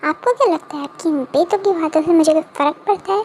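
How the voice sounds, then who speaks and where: Using a put-on character voice, a woman speaks at a fairly quick pace with an extremely high pitch and ordinary pitch variation. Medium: read story. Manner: smug, entitled.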